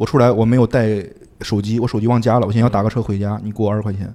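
The man talks at a very fast pace in a medium pitch. His tone is dark and mellow. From Henan, Zhengzhou. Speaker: software product manager and stand-up comedian. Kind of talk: casual chat.

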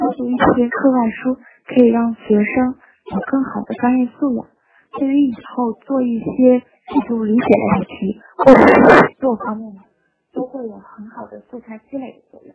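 Delivered at a moderate pace, the voice shows big swings in loudness. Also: woman, high pitch for a woman, ordinary pitch variation. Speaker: university student speaker. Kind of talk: prepared talk.

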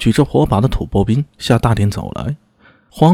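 An unforced reading voice. The words are simply read out.

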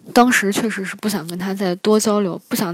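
A woman with a medium pitch and fairly even intonation talks at a very fast pace against noticeable background noise. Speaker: international graduate student. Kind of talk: personal storytelling.

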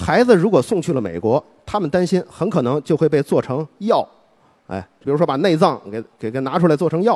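A man with a fairly high pitch and vocal fry talks at a fairly quick pace, his pitch swinging very widely. The sound is dry and close, with no echo. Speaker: public speaker on history. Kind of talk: public speech.

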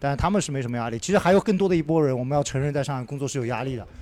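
With lively intonation, a man speaks in a dark, mellow tone at a fairly high pitch. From Shanghai. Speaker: podcast host. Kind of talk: casual group chat. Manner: animated.

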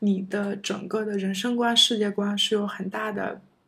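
Her voice somewhat breathy, a woman speaks at a moderate pace. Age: 30s. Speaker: former PhD student. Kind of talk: casual interview chat.

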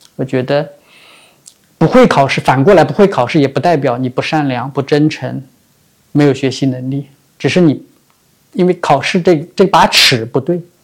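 A man with a fairly high pitch speaks at a moderate pace, with ordinary pitch variation and long, frequent pauses. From Shanghai, Chongming Island. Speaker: venture capital investor. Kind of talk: interview. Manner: hesitant, many filler sounds.

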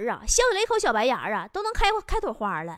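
The voice is animated, with very wide pitch swings. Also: woman. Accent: Northeastern Chinese. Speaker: stand-up comedian and show host. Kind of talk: comedic monologue.

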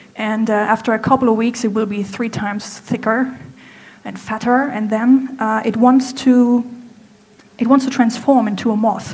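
A woman with a German accent speaks in a fairly high pitch at a moderate pace. Her intonation is monotone and flat, with noticeable background noise and audible room echo. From Germany. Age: 30s. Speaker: apparel designer. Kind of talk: stage talk. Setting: stage with audience. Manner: halting.

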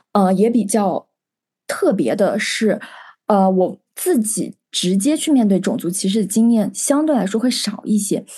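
This woman's voice is fairly high-pitched and somewhat breathy, with a dark, mellow tone and ordinary pitch variation. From China, ethnic minority region. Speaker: podcast co-host, psychology student. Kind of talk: casual chat.

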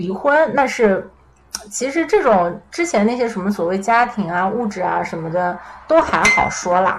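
Over noticeable background noise, a woman talks fairly slowly at medium pitch, her voice swinging very widely up and down. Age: 20s. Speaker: podcast guest. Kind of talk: casual chat.

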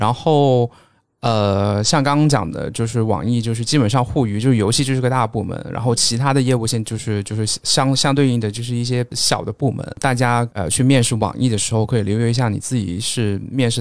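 Hardly pausing, a man talks fairly quickly at medium pitch in a normal speaking voice. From Guangdong, China. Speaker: data analyst. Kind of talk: casual chat.

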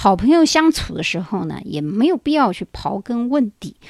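A woman speaking at a fairly quick pace with very wide pitch swings, in a dry, close sound with no echo. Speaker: podcast host. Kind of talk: solo monologue. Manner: conversational, many filler particles.

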